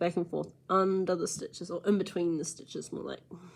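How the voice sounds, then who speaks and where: A woman with a New Zealand accent and a fairly low pitch, in a very clean recording with a silent background. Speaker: crochet tutorial maker. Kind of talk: tutorial. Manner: casual and chatty.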